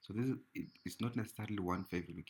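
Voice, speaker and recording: Somewhat breathy, a man speaks at a fairly quick pace. His pitch varies in an ordinary way. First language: not English. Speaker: trading educator. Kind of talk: tutorial. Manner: halting.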